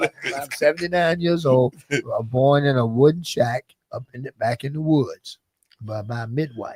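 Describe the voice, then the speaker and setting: Man with an American accent, fairly high pitch, ordinary pitch variation, somewhat breathy, big swings in loudness, moderate pace, dry, close sound with no echo. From US South, Aiken County, South Carolina. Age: 70s. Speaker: former basketball coach and manager. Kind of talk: interview. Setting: radio/streamed talk show.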